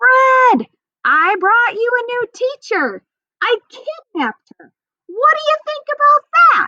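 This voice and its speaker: Putting on a squeaky character voice, a woman speaks at an extremely high pitch and a fairly slow pace, her loudness swinging widely. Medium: read story. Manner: laughing, jokey.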